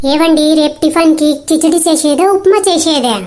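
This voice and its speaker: A woman's put-on character voice, squeaky and extremely high in pitch. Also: fairly slow pace. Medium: voice reel. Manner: dramatic, whiny.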